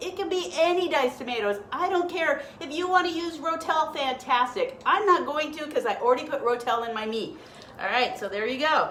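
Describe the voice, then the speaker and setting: In a room with audible echo, a woman speaks at a high pitch and a fairly quick pace. Her pitch swings very widely. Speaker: health and diet coach. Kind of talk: live cooking stream. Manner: casual, chatty; whispering at times.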